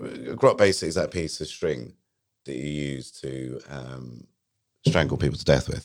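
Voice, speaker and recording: Vocal fry runs through a man's very deep, low voice as he talks at a moderate pace with ordinary pitch variation. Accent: British. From England. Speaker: guest, former colleague of host. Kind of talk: casual interview chat. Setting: studio.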